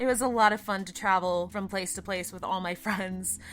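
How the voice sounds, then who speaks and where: Background music accompanies a woman as she talks. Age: 20s. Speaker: voice actor. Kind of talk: casual chat.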